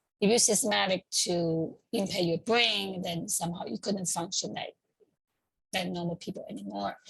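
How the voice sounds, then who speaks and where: A woman speaks with a Chinese accent at a medium pitch. Her voice carries vocal fry. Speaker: community group organizer. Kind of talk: informal talk. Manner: halting, with many fillers.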